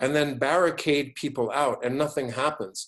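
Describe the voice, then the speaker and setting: A man at a moderate pace, fairly high-pitched, with a New York accent. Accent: New York American English. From New York City. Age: 60s. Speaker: business school professor. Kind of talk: online lecture with Q&A. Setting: video webinar. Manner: halting, many repetitions.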